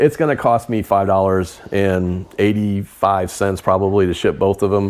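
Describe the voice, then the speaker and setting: He is a man with a normal speaking voice, fairly low in pitch with ordinary variation, moving at a moderate pace. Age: 50s. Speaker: reseller and video host. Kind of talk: casual chat.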